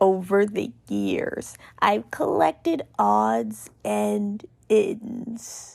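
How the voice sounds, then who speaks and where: Using a raspy, put-on character voice, a woman speaks at a very slow pace. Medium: read story. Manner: weary, cynical, detached.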